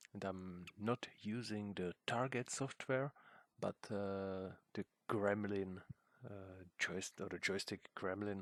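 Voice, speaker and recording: Speaking with a non-native accent, a man talks very slowly in a fairly low pitch. His intonation is fairly even, and the sound is dry and close with no echo. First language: not English. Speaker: hobbyist video maker. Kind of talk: tutorial. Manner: halting, many fillers.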